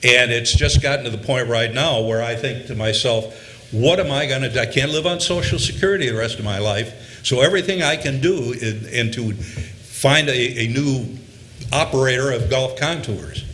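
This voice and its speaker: Over noticeable background noise and with audible room echo, a man speaks at a medium pitch and moderate pace with ordinary pitch variation. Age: 70s. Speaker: business owner and airport tenant. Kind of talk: public comment at a board meeting. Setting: board meeting.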